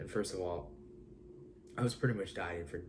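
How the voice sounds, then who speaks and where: This man speaks with vocal fry. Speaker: fitness vlogger. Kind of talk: casual talk to camera.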